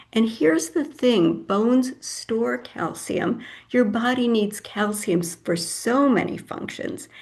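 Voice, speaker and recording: Fairly slow, somewhat breathy speech from a woman, fairly high in pitch and lively in intonation, with audible room echo. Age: 70s. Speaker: health educator speaker. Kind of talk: lecture.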